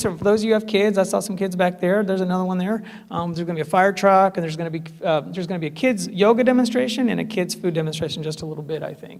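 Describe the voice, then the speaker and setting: With audible room echo, a man talks very fast at a high pitch with ordinary pitch variation. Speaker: lawyer and vegan festival speaker. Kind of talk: public talk. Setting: stage with audience. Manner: animated.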